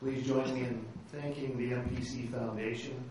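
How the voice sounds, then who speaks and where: Against noticeable background noise, a man with a medium pitch talks at a moderate pace. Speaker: event host. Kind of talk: event introduction.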